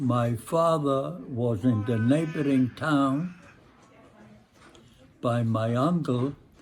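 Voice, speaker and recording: The somewhat breathy voice moves at a very slow pace with long, frequent pauses. Its pitch variation is ordinary. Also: man, medium pitch for a man. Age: 80s+. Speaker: Holocaust survivor. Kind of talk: interview answer.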